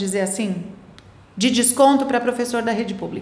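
A woman's high-pitched voice with ordinary pitch variation, audible room echo and noticeable background noise. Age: 50s. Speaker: school owner and educator. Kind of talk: interview.

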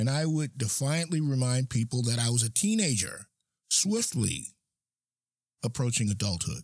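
Somewhat breathy and fairly slow, a man speaks at a medium pitch with ordinary pitch variation. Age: 60s. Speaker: podcast host. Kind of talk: personal monologue.

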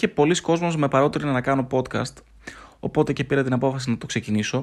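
At a moderate pace, a man with a medium-pitched voice speaks on a very clean recording with a silent background. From Greece, Thessaloniki. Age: 30s. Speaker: podcast host. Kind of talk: solo podcast monologue. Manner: unscripted, halting with fillers.

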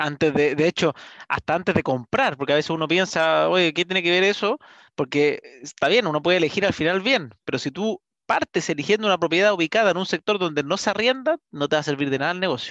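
A man with a high voice talks at a very fast pace, his pitch varying in an ordinary way. The sound is dry and close with no echo, and the background is quiet. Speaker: real estate podcast host. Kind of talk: interview. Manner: energetic.

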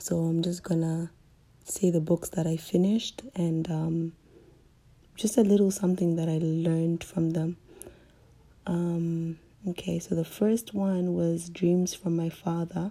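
Low for a woman and dark and mellow in tone, her voice moves at a fairly slow pace in a monotone, flat line, with long, frequent pauses. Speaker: podcast host. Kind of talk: casual solo monologue. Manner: hesitant, many ums.

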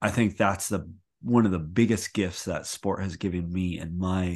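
A man speaks at a moderate pace with a Canadian accent. His very deep, low voice keeps a fairly even intonation. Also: quiet background. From Canada. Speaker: former Olympic figure skater, coach and retreat host. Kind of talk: casual interview chat.

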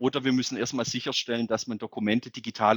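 A man's medium-pitched, normal speaking voice at a fairly quick pace, dry and close with no echo, in a very clean recording over a silent background. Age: 30s. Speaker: mayor. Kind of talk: interview.

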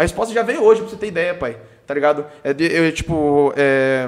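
Noticeable noise sits in the background. Over it, a man speaks at a very fast pace. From Brazil, São Paulo state (Sorocaba region). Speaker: funk singer. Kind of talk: casual chat.

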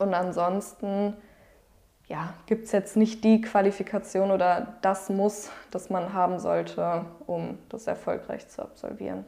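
Her tone is dark and mellow, set at a medium pitch for a woman. She speaks at a very slow pace with monotone, flat intonation. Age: 20s. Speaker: psychology student. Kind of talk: interview.

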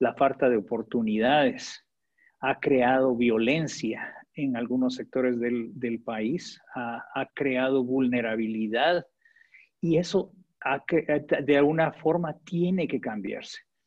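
A man's medium-pitched voice at a very slow pace. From Guatemala. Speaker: development agency director. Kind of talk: interview. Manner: hesitant, many fillers.

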